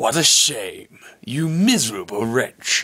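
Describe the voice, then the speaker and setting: A man puts on a character voice in a British accent, menacing and theatrical. His pitch is fairly high, and he speaks at a fairly slow pace. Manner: menacing, theatrical.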